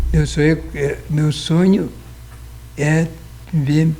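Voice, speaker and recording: Here a man speaks at a very slow pace. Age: 70s. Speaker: lawyer. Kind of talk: interview. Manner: halting.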